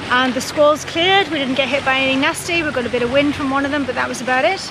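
A woman with a high pitch speaks at a very fast pace with ordinary pitch variation, the sound dry with no echo but with noticeable background noise. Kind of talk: casual vlog chat. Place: boat. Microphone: phone near.

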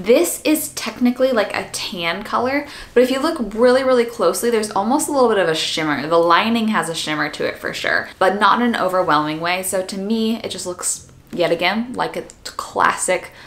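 A woman's fairly quick speech with lively intonation and hardly any pauses. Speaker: fashion vlogger. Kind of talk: casual haul video chat. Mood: cheerful, enthusiastic. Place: home room.

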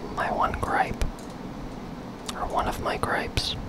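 Whispering goes on at a moderate pace. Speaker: ASMR gaming content creator. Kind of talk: ASMR gaming commentary, whispered and soft-spoken. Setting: studio, close microphone. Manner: whispered, soft-spoken. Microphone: studio mic.

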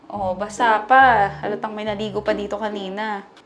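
A woman speaks at a fairly slow pace. Faint music plays in the background. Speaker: vlogger. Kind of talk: casual vlog chat. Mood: playful, amused complaining. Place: home room. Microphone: lapel.

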